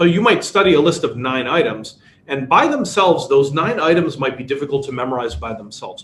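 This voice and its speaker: A man's fairly high voice in a Chicago accent, fairly quick and lively in intonation, over noticeable background noise. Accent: American, Chicago. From US, Chicago, Polish immigrant family. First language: Polish. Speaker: workshop instructor. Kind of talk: online workshop lecture. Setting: webinar.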